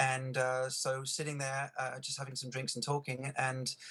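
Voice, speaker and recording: A man with an English accent speaks at a moderate pace. His pitch is medium. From England. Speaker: eyewitness interviewee. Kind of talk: news interview. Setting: Skype video call. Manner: halting, many fillers.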